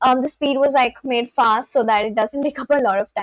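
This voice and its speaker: A woman talks at a moderate pace in an Indian accent. The sound is dry and close, with no echo. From India, West Bengal. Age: 20s. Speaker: live streamer. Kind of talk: casual chat.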